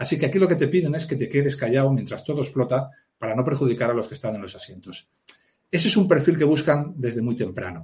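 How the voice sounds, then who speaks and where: A man's fairly high voice, very fast, with lively intonation, vocal fry and big swings in loudness. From Asturias, Spain (mining basin). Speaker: police officer and author. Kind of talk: interview.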